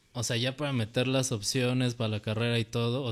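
Over a very clean recording with a silent background, a man speaks at medium pitch with fairly even intonation in an unremarkable speaking voice. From Mexico. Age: 20s. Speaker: rapper and video maker. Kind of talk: casual interview chat.

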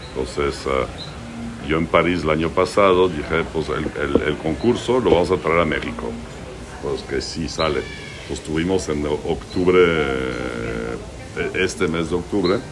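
Music plays in the background as a man with a very deep, low pitch speaks with ordinary pitch variation. The room echo is audible. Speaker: chef and restaurant owner. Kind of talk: interview. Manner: halting, with repeated words.

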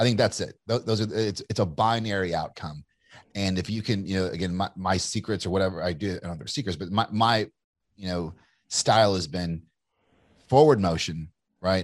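A man speaks in a very deep, low voice with ordinary pitch variation. The background is quiet. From Kentucky, US South. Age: 40s. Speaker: entrepreneur and author. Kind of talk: casual interview.

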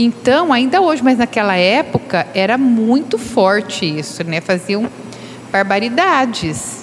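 Amid noticeable background noise, a woman with a fairly high voice speaks fairly slowly, her pitch swinging very widely. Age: 60s. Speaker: spiritist study group participant. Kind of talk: group study discussion.

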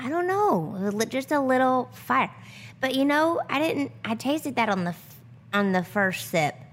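A woman's high-pitched voice at a moderate pace, with very wide pitch swings. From Tennessee. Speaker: podcast host. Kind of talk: casual chat. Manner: self-conscious about voice.

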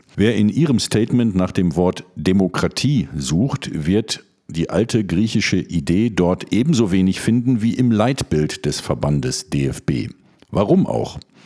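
Speaking fairly slowly, the voice has a dark, mellow tone, vocal fry, very even loudness and very wide pitch swings. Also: man, fairly low pitch for a man. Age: 50s. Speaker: radio show host. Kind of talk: scripted commentary reading; radio magazine chat.

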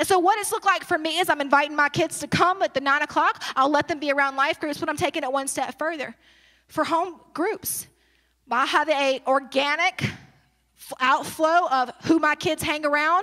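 A woman's raised, projected voice, high in pitch with a bright, sharp tone, ordinary pitch variation and a moderate pace. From Louisiana (Baton Rouge). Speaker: pastor. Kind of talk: sermon.

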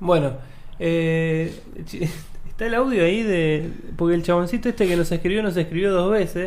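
A man's high voice in a Rioplatense accent, at a moderate pace with long, frequent pauses and audible room echo. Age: 30s. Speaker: radio host. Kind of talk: casual chat. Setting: studio.

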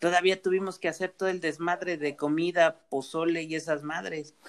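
A plain, everyday voice belongs to a man with a fairly high pitch. He keeps fairly even intonation at a fairly quick pace. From Mexico, Oaxaca (Mixteca region). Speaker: podcast host. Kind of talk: casual chat.

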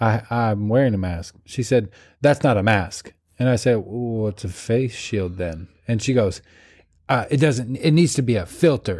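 The recording is very clean with a silent background, and a man speaks at a moderate pace. His is an unremarkable speaking voice at medium pitch with ordinary pitch variation. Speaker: podcast host. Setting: live video stream.

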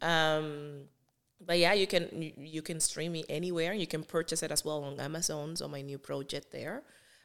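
A woman with a Spanish accent, at a very deep, low pitch and a moderate pace, with fairly even intonation, on a very clean recording with a silent background. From Cuba. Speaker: singer. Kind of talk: interview.

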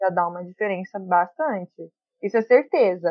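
A woman speaks at a fairly slow pace with lively intonation. She has an unremarkable speaking voice. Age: 20s. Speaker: physiotherapy student. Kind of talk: casual interview.

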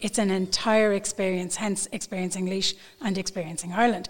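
This woman has a Dublin accent and a medium pitch. She speaks at a fairly quick pace with ordinary pitch variation. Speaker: tour guide.

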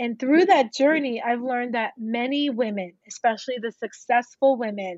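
Speaking at a moderate pace, a woman uses a high pitch with ordinary variation. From Iran, moved to US as child. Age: 40s. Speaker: HR executive. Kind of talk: interview.

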